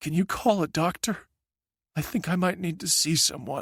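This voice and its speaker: The voice is a raspy, put-on character voice. It moves at a moderate pace. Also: man, high pitch for a man. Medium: read story.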